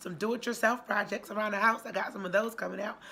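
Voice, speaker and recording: A woman is speaking. Her tone is bright and sharp. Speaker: YouTube diet vlogger. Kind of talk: casual vlog talk.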